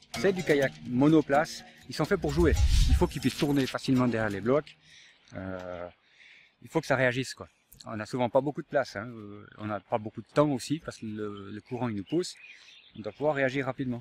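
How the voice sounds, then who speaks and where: At a fairly quick pace yet with long, frequent pauses, a man of medium pitch speaks with lively intonation and big swings in loudness, the sound dry and close with no echo. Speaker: kayak instructor. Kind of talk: interview. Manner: halting.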